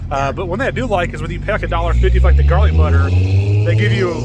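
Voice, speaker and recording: Loud background noise competes with a man speaking very fast, the sound dry and free of echo. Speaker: food vlogger. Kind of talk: casual vlog chat. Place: street. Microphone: phone near.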